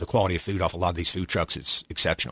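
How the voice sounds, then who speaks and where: In an Appalachian accent, a man with a very deep, low pitch speaks in a dry, close sound with no echo. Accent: Appalachian Southern US. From Boone, North Carolina. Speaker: restaurant owner, navy veteran. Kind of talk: interview.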